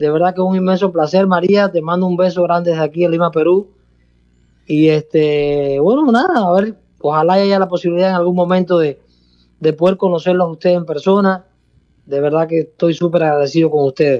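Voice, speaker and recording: Speaking fairly quickly, a man with a Peruvian accent has a high pitch. His intonation is fairly even and his loudness very even. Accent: Peruvian-sounding. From Cuba, province outside Havana. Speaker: salsa orchestra musical director. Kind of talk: radio interview. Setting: phone call.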